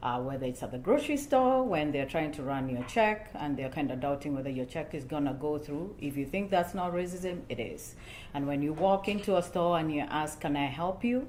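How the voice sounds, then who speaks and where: With a Kenyan accent, a woman talks at a fairly quick pace with hardly any pauses, a very deep, low pitch, and lively intonation, with audible room echo. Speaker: church panel speaker. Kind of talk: panel discussion.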